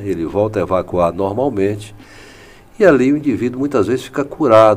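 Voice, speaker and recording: A man speaks at a fairly low pitch with ordinary pitch variation. Noticeable background noise can be heard. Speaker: physician. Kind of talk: medical interview.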